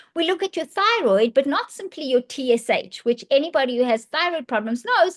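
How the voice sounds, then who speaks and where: Her pitch high and swinging very widely, a woman talks at a fairly quick pace in a dry, close sound with no echo. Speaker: functional medicine practitioner. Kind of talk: podcast conversation. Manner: fast.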